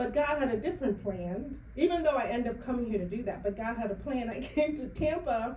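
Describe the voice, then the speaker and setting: A woman in a Bahamian accent, fairly quick and lively in intonation, with audible room echo. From Bahamas. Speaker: author and financial educator. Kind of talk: interview. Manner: animated.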